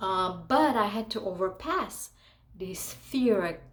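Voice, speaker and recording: A woman's voice at medium pitch. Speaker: actress and model. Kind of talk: casual vlog monologue. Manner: animated.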